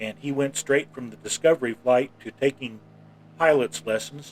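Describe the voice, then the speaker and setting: Here a man speaks with an American accent at medium pitch. His pace is fairly slow, with ordinary pitch variation. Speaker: flight sim streamer. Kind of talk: live gameplay commentary. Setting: home studio. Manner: halting.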